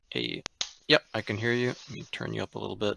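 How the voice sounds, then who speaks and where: The recording is dry and close with no echo as a man talks at a very fast pace with ordinary pitch variation. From Toronto, Canada. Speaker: game coach. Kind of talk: casual chat.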